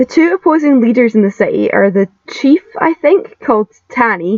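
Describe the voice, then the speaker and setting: A woman with a strong Scottish accent speaks with very wide pitch swings in a dry, close sound with no echo. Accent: broad Scottish. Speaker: YouTube film reviewer. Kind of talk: scripted video review. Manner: animated.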